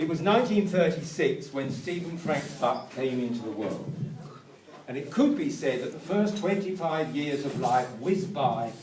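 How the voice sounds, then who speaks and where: A man with a fairly high pitch speaks at a moderate pace with lively intonation. Noticeable background noise and audible room echo surround him. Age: 70s. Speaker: birthday celebrant. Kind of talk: celebration speech. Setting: restaurant with guests.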